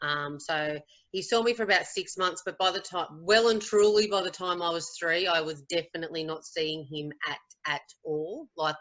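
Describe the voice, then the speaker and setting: With an Australian accent, a woman speaks at a moderate pace in a fairly low pitch, using ordinary pitch variation. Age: 40s. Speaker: teacher. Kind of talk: testimony. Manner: halting.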